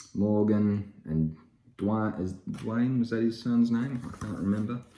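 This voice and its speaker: This man speaks at a fairly slow pace in a fairly low pitch. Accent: Australian. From Australia. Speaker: comic book YouTuber. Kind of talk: casual haul video. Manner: casual, hesitant with many fillers.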